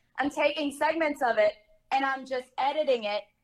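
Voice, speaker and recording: With music playing in the background, a woman speaks at a high pitch with ordinary pitch variation. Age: 20s. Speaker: adult webcam model and content creator. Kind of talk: casual interview chat.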